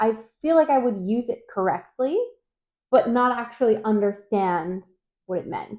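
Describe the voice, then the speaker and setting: A woman at a fairly high pitch and moderate pace, an ordinary speaking voice. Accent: American. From United States. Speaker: vlogger. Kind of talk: casual chat.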